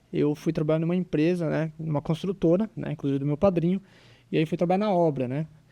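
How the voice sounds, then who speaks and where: Over a quiet background, a man with a fairly high pitch and a dark, mellow tone talks at a very fast pace with fairly even intonation. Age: 20s. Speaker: physical education teacher and business owner. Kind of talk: casual interview.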